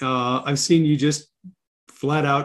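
A man with an American accent speaks at a fairly high pitch in a normal speaking voice. His pace is fairly slow. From Wisconsin. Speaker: podcast host. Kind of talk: casual interview. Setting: remote call.

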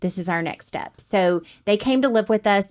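A woman talks at a moderate pace with an Alabama accent, in a very clean recording with a silent background. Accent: Southern US (Alabama). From US South, Alabama (Montgomery). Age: 40s. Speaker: military wife and adoptive mother. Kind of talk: interview.

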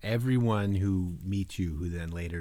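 A man with a dark, mellow tone and a somewhat breathy voice speaks at a fairly slow pace with ordinary pitch variation. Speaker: podcast co-host. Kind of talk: casual chat. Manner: animated, joking.

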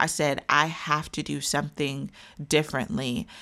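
In a very clean recording with a silent background, a woman with an American accent speaks at a very deep, low pitch in a bright, sharp tone with vocal fry. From Wichita, Kansas. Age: young. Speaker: relationship coach. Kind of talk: casual interview conversation.

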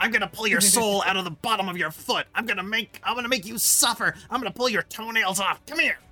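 A put-on character voice, fairly high in pitch, talks at a fairly quick pace over faint music in the background. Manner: menacing, spiteful.

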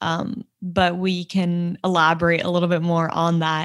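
A woman talks at a moderate pace in a fairly low voice.

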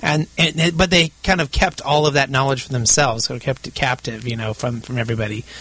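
With hardly any pauses, a man talks at a very fast pace in a medium pitch with ordinary pitch variation. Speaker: radio host and company CEO. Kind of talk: radio interview. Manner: halting, many fillers.

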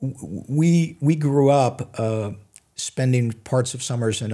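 Dark and mellow in tone, the voice shows ordinary pitch variation on a very clean recording with a silent background. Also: man. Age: 70s. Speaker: physician and author. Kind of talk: interview. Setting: studio. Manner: halting, many fillers.

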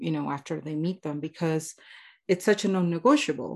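A woman's voice sits very deep and low in pitch, with lively intonation. The background is quiet. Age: 30s. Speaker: podcast host and life coach. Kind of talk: casual interview.

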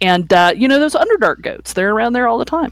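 The woman's voice moves through very wide pitch swings. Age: 40s. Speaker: podcast co-host. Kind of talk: casual chat. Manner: halting.

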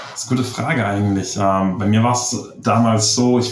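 Amid audible room echo, a man speaks very fast at a medium pitch. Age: 20s. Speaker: online seller. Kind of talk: interview.

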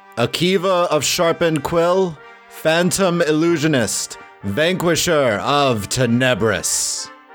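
A man with a fairly high pitch for a man puts on a booming character voice, speaking at a fairly slow pace over clear background music. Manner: grand, announcing.

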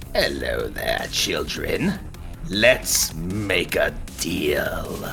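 Using a put-on character voice, a man speaks at a very slow pace over clear background music. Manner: smiling, scheming, menacing.

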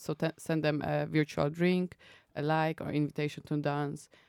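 With a Polish accent, a woman speaks at a moderate pace in a very deep, low, flat monotone, recorded very cleanly with a silent background and a dry, close sound with no echo. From Poland. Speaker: app founder. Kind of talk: interview.

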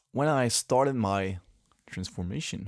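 A man's fairly low voice with a French accent at a moderate pace. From Quebec City, Canada. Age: 20s. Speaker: solo vlogger. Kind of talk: casual solo monologue, rambling about himself. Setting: sitting on the floor in the dark, home recording. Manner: halting, hesitant, with filler words; reflective, laughs often.

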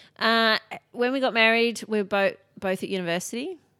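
On a very clean recording with a silent background, a woman speaks at a fairly quick pace with an Australian accent. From Sydney, Australia. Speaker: author and keynote speaker. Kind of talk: casual chat. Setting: at her home.

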